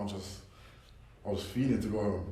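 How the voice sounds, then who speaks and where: A man's fairly low voice with audible room echo. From England (London). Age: 20s. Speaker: college basketball player. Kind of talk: casual chat.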